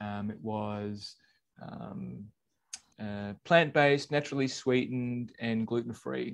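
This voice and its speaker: A man with an Australian accent talks at a medium pitch with ordinary pitch variation. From Australia (born in England). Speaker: podcast co-host, former corporate manager. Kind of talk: casual chat.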